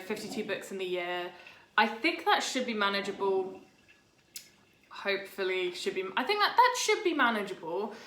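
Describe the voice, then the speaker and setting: In a British accent, a woman with a fairly high pitch and ordinary pitch variation speaks at a moderate pace, with noticeable background noise and audible room echo. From Britain. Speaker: writer and video blogger. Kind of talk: casual vlog monologue.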